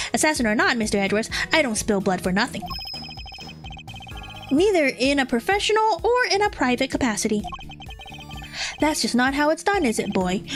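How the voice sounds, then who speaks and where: Over clear music in the background, a woman performs a put-on character voice at a fairly quick pace. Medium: virtual streamer. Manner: gruff, composed.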